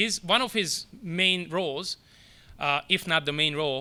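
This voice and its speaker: A man with a non-native accent speaks in a fairly high, bright, sharp voice with ordinary pitch variation. The recording is very clean, with a silent background. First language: not English. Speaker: soccer academy director. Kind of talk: press conference speech. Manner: halting.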